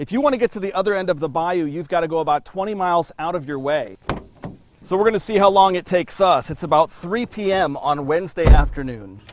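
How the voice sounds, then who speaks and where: A man speaks at a very fast pace in a high pitch with lively intonation. Background noise is noticeable. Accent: American. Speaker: television news anchor and reporter. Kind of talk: TV news anchor delivery.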